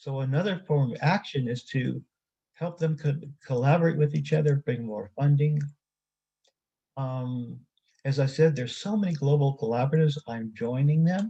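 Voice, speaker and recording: Somewhat breathy and dark, mellow in tone, a man with a fairly high pitch speaks at a moderate pace with ordinary pitch variation and long, frequent pauses. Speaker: activist and author presenting at a conference. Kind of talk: conference presentation.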